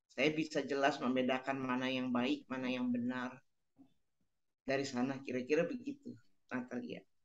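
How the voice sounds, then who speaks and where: Her intonation monotone and flat, a woman with a very deep, low pitch talks at a moderate pace with long, frequent pauses. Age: 60s. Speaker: foundation chairwoman. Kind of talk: interview. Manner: casual.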